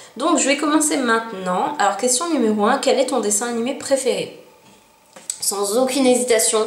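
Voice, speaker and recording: Amid noticeable background noise and audible room echo, a woman with a high voice speaks at a moderate pace with ordinary pitch variation. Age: 20s. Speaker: YouTuber. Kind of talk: casual vlog.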